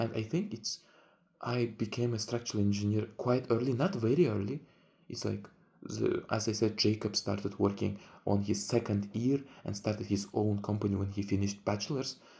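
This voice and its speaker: Somewhat breathy and dark, mellow in tone, a man's fairly low voice moves at a moderate pace. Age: 20s. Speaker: vlogger. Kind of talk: casual vlog monologue. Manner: halting.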